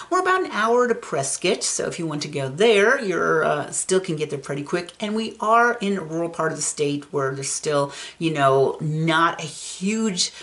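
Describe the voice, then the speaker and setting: Over noticeable background noise, a woman with a fairly low pitch talks at a moderate pace with hardly any pauses. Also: lively intonation. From Arizona, Phoenix. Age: 60s. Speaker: real estate video host. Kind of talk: informational vlog. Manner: casual, with frequent fillers.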